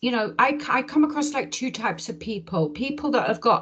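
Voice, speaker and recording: A woman talks at a fairly quick pace. Noticeable background noise sits behind her voice. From English Midlands. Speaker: English teacher. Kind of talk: casual interview conversation.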